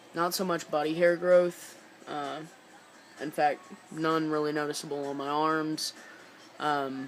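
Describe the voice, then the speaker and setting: Backed by music, a man speaks fairly slowly with long, frequent pauses, his fairly high voice held in a monotone, flat intonation. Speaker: vlogger documenting transition. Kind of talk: personal video diary. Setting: indoors, dim lighting. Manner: halting, many fillers.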